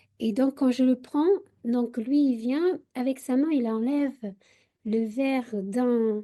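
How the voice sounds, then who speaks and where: A woman with a fairly high voice speaks very slowly in a dark, mellow tone with ordinary pitch variation. The background is quiet. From Portugal. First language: Portuguese (speaking French). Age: 40s. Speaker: university researcher. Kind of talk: radio interview. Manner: halting, many hesitations.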